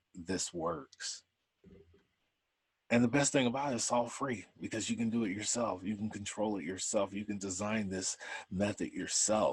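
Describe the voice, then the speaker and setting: With an ordinary speaking voice, a man talks at a moderate pace in a fairly low pitch, using ordinary pitch variation. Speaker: conference speaker, retired criminal profiler. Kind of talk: lecture.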